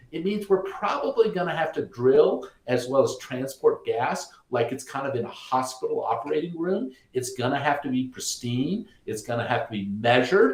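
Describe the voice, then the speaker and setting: Here a man with an American accent has an animated tone. He holds a moderate pace with hardly any pauses. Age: 60s. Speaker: energy company co-founder. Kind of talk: webinar talk.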